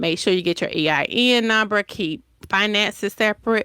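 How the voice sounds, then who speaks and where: A bright, sharp tone comes at a moderate pace in a Southern US accent. The recording is dry and close, with no echo. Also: woman, very clean recording, silent background. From US South, Decatur, Georgia. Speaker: entrepreneur. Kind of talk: interview.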